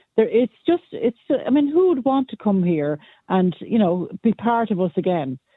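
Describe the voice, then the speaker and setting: A woman with an Irish accent, fairly high in pitch, at a moderate pace with very wide pitch swings. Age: 60s. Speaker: caller. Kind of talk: radio phone-in opinion.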